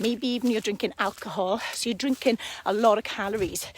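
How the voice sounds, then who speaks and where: A woman's fairly high-pitched voice with a slight Welsh accent. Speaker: fitness coach. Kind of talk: live stream talk to viewers. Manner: casual, hesitant fillers.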